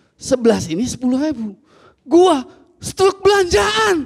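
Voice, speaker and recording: Against a quiet background, a man speaks at a very slow pace in an extremely high pitch with very wide pitch swings. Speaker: stand-up comedian and ojol driver. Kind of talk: stand-up comedy. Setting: stage with audience. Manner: complaining, unlucky-underdog persona, mimicking dialogue. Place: stage. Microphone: handheld.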